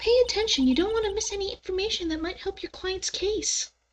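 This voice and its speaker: Squeaky and extremely high in pitch, a woman rattles along at a very fast pace in a put-on character voice. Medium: virtual streamer. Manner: calm, instructive.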